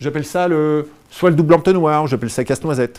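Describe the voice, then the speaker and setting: A man delivers these lines. His speed is fairly quick. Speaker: speaker giving a talk on burnout. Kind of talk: live talk to an audience. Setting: venue with live audience. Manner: fast; animated.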